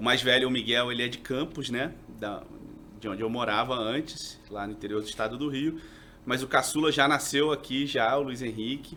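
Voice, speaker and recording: Moderate in pace, a man speaks with a medium pitch. His tone is bright and sharp. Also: ordinary pitch variation. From Rio de Janeiro, then Minas Gerais from 16. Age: 40s. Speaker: TV journalist and reporter. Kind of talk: casual podcast interview.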